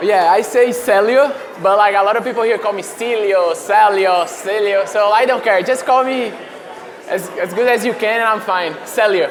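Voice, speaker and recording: A man with a high pitch and a Brazilian accent speaks with fairly even intonation. Audible room echo and crowd noise fill the background. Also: moderate pace. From Brazil, Fortaleza (northeast). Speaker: professional soccer player. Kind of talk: interview. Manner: casual, halting with fillers.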